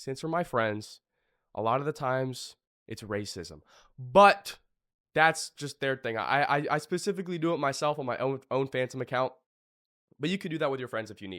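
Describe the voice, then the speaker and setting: Over a very clean recording with a silent background, a man speaks at a medium pitch and a moderate pace, leaving long, frequent pauses. His tone is bright and sharp, and his intonation is lively. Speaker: online business course creator. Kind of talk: tutorial. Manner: casual, filler-heavy.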